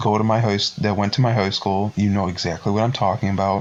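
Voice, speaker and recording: Talking at a very fast pace, a man with a fairly low pitch keeps his intonation fairly even over noticeable background noise. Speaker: podcast host. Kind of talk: casual chat. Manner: halting.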